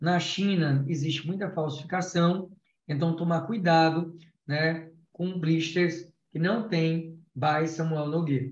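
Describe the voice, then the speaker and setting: Here a man talks at a very slow pace. His pitch is high, with fairly even intonation. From Brazil, Alagoas. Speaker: endodontist lecturer. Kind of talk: lecture. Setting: video call.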